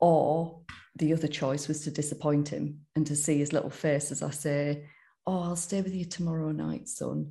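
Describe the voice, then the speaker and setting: In a room with audible echo, a woman speaks in a very deep, low pitch, her dark, mellow tone somewhat breathy and her intonation fairly even. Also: moderate pace. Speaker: sober coach. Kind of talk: interview testimony.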